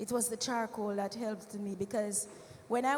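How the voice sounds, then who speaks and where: A woman speaks at a moderate pace with a fairly high pitch, and noticeable background noise can be heard. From Jamaica. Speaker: church health presenter. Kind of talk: health talk with testimony. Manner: conversational.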